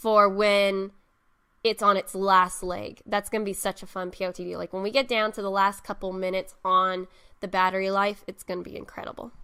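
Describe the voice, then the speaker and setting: Fairly quick speech with a monotone, flat intonation. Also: woman, medium pitch for a woman. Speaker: gaming video creator. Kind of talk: casual vlog commentary. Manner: hesitant, many fillers.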